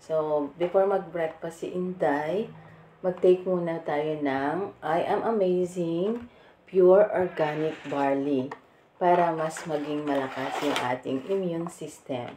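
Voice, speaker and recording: A woman speaks at a very slow pace with a fairly low pitch and ordinary pitch variation. Background noise is noticeable. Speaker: vlogger. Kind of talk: product demo vlog. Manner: casual, chatty.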